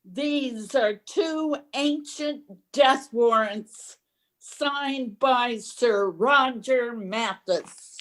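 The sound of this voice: A female-sounding voice uses a put-on character voice pitched high, moving at a very slow pace. The recording is very clean, with a silent background.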